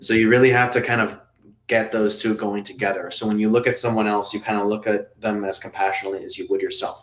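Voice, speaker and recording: A man speaks at a fairly low pitch with a Spanish accent. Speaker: meditation teacher and app founder. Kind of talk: live webinar Q&A. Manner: conversational, with many fillers.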